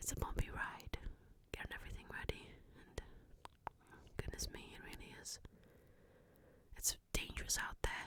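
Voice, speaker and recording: Whispering at a moderate pace, broken by long, frequent pauses. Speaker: ASMR creator. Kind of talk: ASMR whisper and soft-spoken talk. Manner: soft-spoken.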